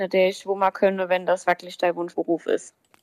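A woman speaks at a fairly quick pace in a dry, close sound with no echo. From Palatinate, Germany (near Kaiserslautern). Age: 20s. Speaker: baker and pastry chef. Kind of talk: interview answers.

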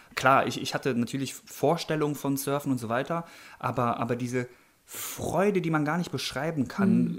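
Noticeable background noise sits behind a man speaking at a fairly high pitch and a moderate pace with ordinary pitch variation. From Germany. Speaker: professional surfer. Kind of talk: interview.

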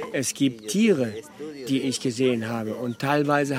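A man speaks at medium pitch and moderate pace. His intonation stays fairly even. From Venezuela, German emigrant family. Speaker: expedition tour operator and interpreter. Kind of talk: interview and live interpreting. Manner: halting.

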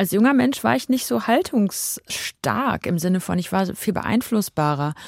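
A woman speaks at medium pitch. Her voice has very wide pitch swings. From Germany, Dortmund. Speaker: singer-songwriter. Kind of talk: radio interview. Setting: studio.

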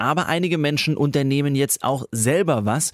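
An unremarkable speaking voice, a man talks at a moderate pace with ordinary pitch variation, recorded very clean against a silent background with a dry, close sound and no echo. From Baden, Pforzheim area. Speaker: radio news show host. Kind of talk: radio news magazine presenting. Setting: studio.

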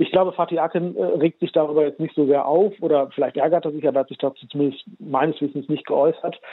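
Fairly high in pitch, a man speaks very fast with hardly any pauses. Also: fairly even intonation. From Germany. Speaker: journalist and author. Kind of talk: radio interview.

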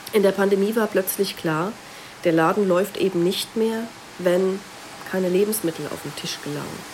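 A woman's medium-pitched voice at a moderate pace, with fairly even intonation, long, frequent pauses and noticeable background noise. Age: 40s. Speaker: sociology professor. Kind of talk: expert interview.

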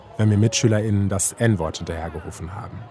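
Amid noticeable background noise, a man with a fairly low pitch speaks at a very fast pace with ordinary pitch variation. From Germany, Kassel (northern Hesse). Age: 30s. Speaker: radio documentary author. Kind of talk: scripted narration.

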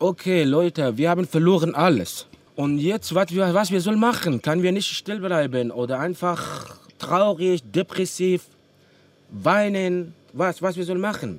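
His voice sits at a high pitch. This man talks at a fairly slow pace. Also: ordinary pitch variation. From Afghanistan. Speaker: musician. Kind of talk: interview. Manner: halting.

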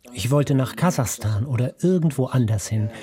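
The speaker is a man at a moderate speed. Background noise is clearly audible. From Ukraine. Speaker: doctor, psychiatrist. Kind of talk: interview testimony (German voice-over). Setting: video call from his kitchen.

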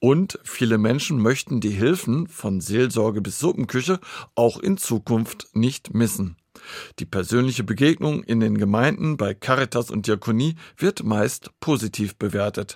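A man speaks in a normal speaking voice at medium pitch and a fairly slow pace, his intonation lively. The recording is very clean with a silent background, dry and close with no echo. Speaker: radio reporter. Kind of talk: radio feature narration.

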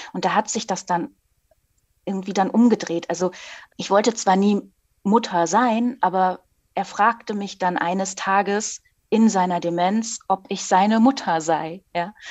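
With long, frequent pauses, a woman speaks at a fairly slow pace and a medium pitch, her intonation fairly even. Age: 40s. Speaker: author. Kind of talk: interview.

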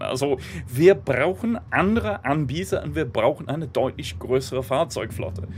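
There is noticeable background noise. A man speaks through it at a moderate pace. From Great Britain. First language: English (speaking German). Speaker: political blogger and rail campaigner. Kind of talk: interview. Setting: on a train.

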